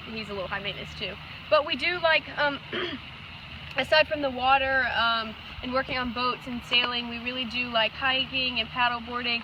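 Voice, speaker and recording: With an American accent and a high pitch, a woman speaks at a moderate pace with fairly even intonation and long, frequent pauses, over noticeable background noise. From Georgia, US South. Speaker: couple applicant. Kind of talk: casual interview.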